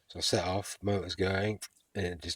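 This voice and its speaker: Speaking fairly quickly in a flat monotone, a man with an English accent is heard in a dry, close sound with no echo on a very clean recording with a silent background. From England. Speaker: vlogger. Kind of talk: spoken travel diary. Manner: halting.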